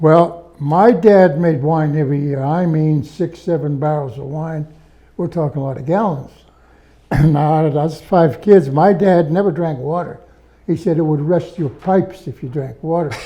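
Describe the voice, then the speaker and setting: This man has a Pittsburgh accent and a fairly high pitch with ordinary variation. His pace is moderate. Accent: Western Pennsylvania (Pittsburgh). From Pittsburgh area, Pennsylvania (Verona). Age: 90s. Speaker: World War II veteran. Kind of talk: interview.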